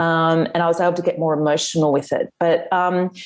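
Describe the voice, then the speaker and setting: A woman with an Australian accent speaks at a fairly quick pace and a fairly low pitch. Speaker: author. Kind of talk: interview.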